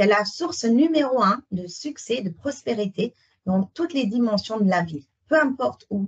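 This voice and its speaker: The recording is dry and close, with no echo. A woman with a fairly high pitch and a somewhat breathy voice makes very wide pitch swings. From Netherlands. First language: Dutch (speaking French). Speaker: sales consultant. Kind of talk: webinar presentation. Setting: online webinar.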